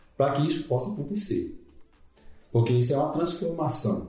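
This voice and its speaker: Over music in the background, a man talks at a fairly quick pace with ordinary pitch variation, and there is audible room echo. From Bahia interior, Brazil. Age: 50s. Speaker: fitness program participant. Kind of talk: casual chat. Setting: office.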